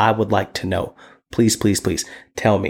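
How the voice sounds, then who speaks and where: A man talks at a medium pitch. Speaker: podcast host and nurse. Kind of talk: casual monologue. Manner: confident.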